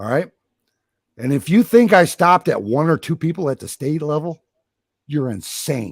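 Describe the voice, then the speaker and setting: Speaking with an American accent, a man uses a fairly high voice with very wide pitch swings at a moderate pace, leaving long, frequent pauses in a dry, close sound with no echo. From Michigan. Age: 60s. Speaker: podcast host. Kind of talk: heated debate. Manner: animated.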